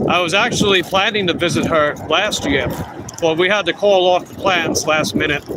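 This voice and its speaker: A man with an American accent talks at a fairly quick pace and a high pitch. His intonation is fairly even, and there is noticeable background noise. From Long Island, New York. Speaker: food delivery bike courier streamer. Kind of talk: casual live stream chat.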